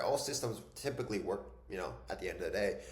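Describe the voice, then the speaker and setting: A man's voice with audible room echo. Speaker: online business and fitness coaching mentor. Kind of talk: casual YouTube tutorial talk. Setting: home desk. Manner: fast; casual, filler-heavy.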